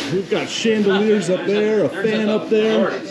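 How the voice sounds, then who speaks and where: With crowd noise in the background, a man speaks at a fairly slow pace. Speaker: fishing vlogger. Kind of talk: casual vlog chat. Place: bar. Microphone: phone near.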